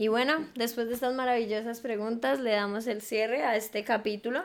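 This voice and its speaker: In an ordinary speaking voice, a woman talks at a fairly quick pace with a fairly high pitch and fairly even intonation. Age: young. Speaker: podcast host. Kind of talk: casual chat.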